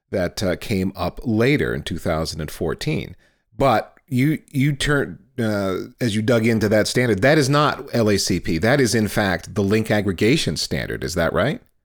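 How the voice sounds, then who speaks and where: An ordinary speaking voice with lively intonation at a moderate pace, in a very clean recording with a silent background. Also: man, fairly low pitch for a man. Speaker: podcast host. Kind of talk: podcast interview.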